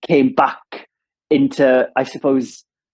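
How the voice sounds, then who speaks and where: With a strong Welsh accent, a man speaks in very wide pitch swings. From south Wales, Ammanford. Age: 30s. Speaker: radio presenter. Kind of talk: casual chat.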